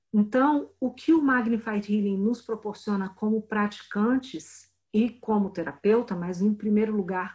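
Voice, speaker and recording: A woman's fairly high voice has a dark, mellow tone and is somewhat breathy. She speaks at a fairly slow pace with ordinary pitch variation. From Brazil, Brasília. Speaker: spiritual healing teacher and translator. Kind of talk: interview.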